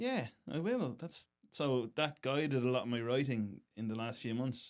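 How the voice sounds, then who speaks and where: A man speaks with an Irish accent at medium pitch. His pace is moderate and his pitch varies in an ordinary way. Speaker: stand-up comedian. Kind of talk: casual chat.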